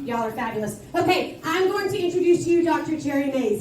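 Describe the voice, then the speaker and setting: A woman with an American accent swings very widely in pitch, with audible room echo and noticeable background noise. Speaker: school administrator. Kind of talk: school assembly address. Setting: school assembly. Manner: loud; animated.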